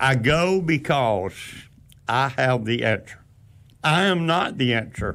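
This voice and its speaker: A man of medium pitch at a very slow pace, with lively intonation, very even loudness and long, frequent pauses. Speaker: traveling horse evangelist. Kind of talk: radio talk show interview. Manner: loud and clear; preachy, emphatic.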